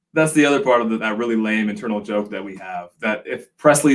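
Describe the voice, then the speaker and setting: The speaker is a man at medium pitch. He talks very fast. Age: 40s. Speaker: whiskey channel co-host. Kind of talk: casual live stream chat. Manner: slurs and stammers a little.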